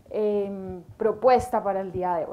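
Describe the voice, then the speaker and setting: A woman with an Antioquian accent. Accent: paisa, sing-song. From Colombia, Antioquia (paisa region). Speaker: government trade official and lawyer, lecturer. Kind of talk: lecture. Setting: university lecture hall, live audience and streamed online. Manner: hesitant fillers (eh, em).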